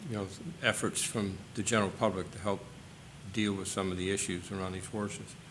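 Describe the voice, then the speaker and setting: Against audible room echo, a man delivers his words at a fairly quick pace in a monotone, flat intonation. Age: 60s. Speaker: advisory board member. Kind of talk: public meeting discussion. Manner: halting.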